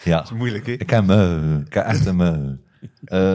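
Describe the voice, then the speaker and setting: Lively intonation and a dark, mellow tone from a man, in a very clean recording with a silent background. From West Flanders, Belgium (Heule, Kortrijk). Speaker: teacher and reality game show contestant. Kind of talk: casual interview chat. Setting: studio. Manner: halting.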